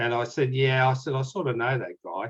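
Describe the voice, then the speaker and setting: Somewhat breathy, a man with an Australian accent talks at a fairly quick pace in a dry, close sound with no echo. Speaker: Titanic author and researcher. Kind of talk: casual chat.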